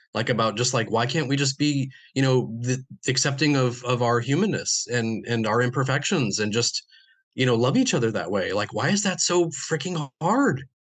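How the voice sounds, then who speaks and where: A man talks at medium pitch and a moderate pace, somewhat breathy, with ordinary pitch variation and very even loudness. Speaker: musician and podcast host. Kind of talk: casual chat. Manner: halting.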